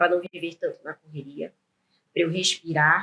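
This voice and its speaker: This is a woman speaking. Her pitch is fairly low. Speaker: entrepreneur and business owner. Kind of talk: interview conversation. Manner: fast; animated.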